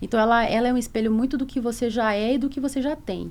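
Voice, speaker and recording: A fairly high-pitched woman's voice at a fairly quick pace, with fairly even intonation. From Bahia, Brazil (Salvador). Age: 40s. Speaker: corporate lawyer, head of legal and compliance. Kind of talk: podcast interview. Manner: hesitant, many fillers.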